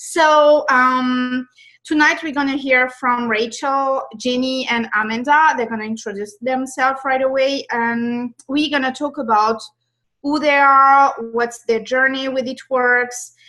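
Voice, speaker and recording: Projecting a raised voice with a French accent, a woman speaks high-pitched and at a fairly slow pace, her tone bright and sharp and her intonation fairly even. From France. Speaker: network marketing leader hosting a webinar. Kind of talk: video call webinar hosting. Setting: video call.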